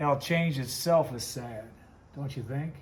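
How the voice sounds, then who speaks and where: A man's somewhat breathy, fairly high-pitched voice carries audible room echo. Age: 60s. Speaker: woodcarver and Bible teacher. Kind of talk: casual vlog talk while working. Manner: casual, rambling.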